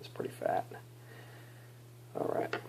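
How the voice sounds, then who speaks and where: At a moderate pace, someone talks while noticeable background noise carries on underneath. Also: man. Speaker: vaping hobbyist video maker. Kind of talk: tutorial. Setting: at home at night. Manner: quiet, subdued; casual, hesitant with fillers.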